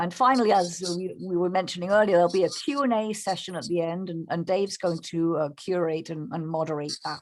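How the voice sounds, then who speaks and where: A fairly quick delivery with an English accent, ordinary pitch variation and hardly any pauses. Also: woman, fairly low pitch for a woman. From England. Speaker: bird photographer. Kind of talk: presentation. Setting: video call. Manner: halting.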